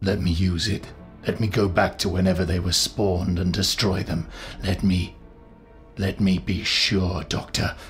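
A man's put-on character voice, gruff and growling, very deep and low, at a fairly slow pace with very even loudness and fairly even intonation, over clear background music. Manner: grim, gruff, guarded; intense, pressing.

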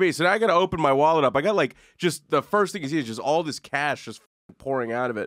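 A man talks at a very fast pace with a fairly high pitch and lively intonation. The background is quiet. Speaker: comedy podcast host. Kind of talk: casual chat. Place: studio. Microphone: studio mic.

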